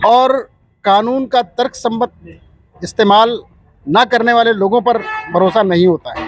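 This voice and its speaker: Music plays behind a man whose pitch is extremely high, with ordinary variation. He leaves long, frequent pauses. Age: 60s. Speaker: retired air force officer, protester. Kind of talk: street interview.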